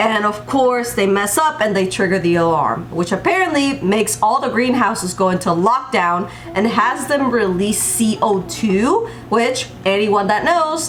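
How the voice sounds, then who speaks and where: A woman speaks at a fairly slow pace with hardly any pauses, her fairly high pitch carried by lively intonation and an animated tone at very even loudness, amid noticeable background noise and audible room echo. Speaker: TV show reviewer. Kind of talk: video review commentary.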